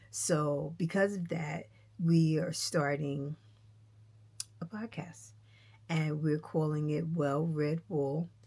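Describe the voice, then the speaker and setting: This woman's voice sits very deep and low, somewhat breathy, with fairly even intonation. She talks at a very slow pace, leaving long, frequent pauses. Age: 60s. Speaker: knitting vlogger. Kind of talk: casual vlog chat. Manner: gentle.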